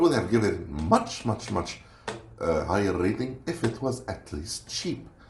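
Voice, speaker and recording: Over noticeable background noise, a man with a non-native accent talks at a moderate pace in a fairly low pitch, using very wide pitch swings. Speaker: food reviewer. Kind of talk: product review. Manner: casual, hesitant.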